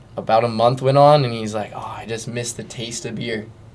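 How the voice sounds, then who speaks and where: Audible room echo surrounds a man with an American accent speaking at medium pitch with fairly even intonation. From Southern California, San Clemente. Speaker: pro surfer. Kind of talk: casual chat.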